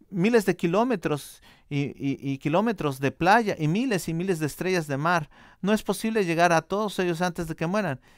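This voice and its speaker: Against a quiet background, a man talks at a high pitch with ordinary pitch variation. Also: moderate pace, dry sound with no echo. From Mexico. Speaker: church interpreter; preacher. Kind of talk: interpreted sermon. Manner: halting, many false starts. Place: church.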